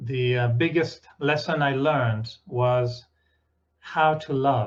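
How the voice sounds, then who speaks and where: A man with a French accent talks at a very slow pace, his medium-pitched voice somewhat breathy. His intonation stays fairly even. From France. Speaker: meditation teacher and journalist. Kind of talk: spiritual talk with consecutive interpretation. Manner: short phrases with pauses for interpreter.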